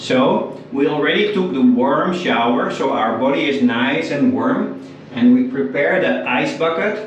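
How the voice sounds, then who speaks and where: Against light background noise and audible room echo, a man speaks at a very slow pace. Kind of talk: casual vlog chat. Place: bathroom. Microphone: camera far.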